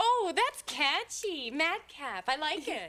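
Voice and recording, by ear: Slowly, a woman performs a put-on character voice pitched high for a woman. Her bright, sharp tone leaps through big pitch swings.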